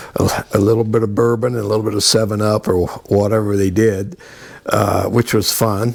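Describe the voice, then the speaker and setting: A man's monotone, flat delivery at a moderate pace with very even loudness, over noticeable background noise. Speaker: retired National Guard soldier. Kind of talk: casual interview. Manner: halting, many fillers.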